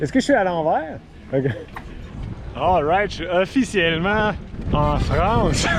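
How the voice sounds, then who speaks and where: Over noticeable background noise, a man with a high voice and lively intonation speaks at a very slow pace, leaving long, frequent pauses. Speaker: cycle touring vlogger. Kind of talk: travel vlog. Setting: outdoors on a bike. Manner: casual.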